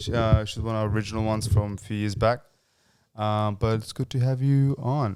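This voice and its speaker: An ordinary speaking voice from a man at medium pitch, with fairly even intonation and a fairly quick pace, on a very clean recording with a silent background. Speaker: podcast host; actor. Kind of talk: casual podcast talk.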